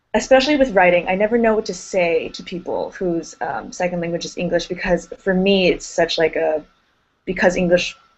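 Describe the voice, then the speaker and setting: A woman with an American accent and a plain, everyday voice speaks fairly quickly at a medium pitch with ordinary pitch variation. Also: big swings in loudness. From United States. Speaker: grad school applicant. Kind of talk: group discussion.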